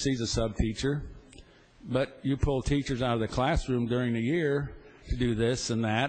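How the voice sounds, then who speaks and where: He talks at a moderate pace in a medium pitch with ordinary pitch variation. The man's voice is somewhat breathy. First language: not English. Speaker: state senator. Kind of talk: legislative floor debate. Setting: legislative chamber.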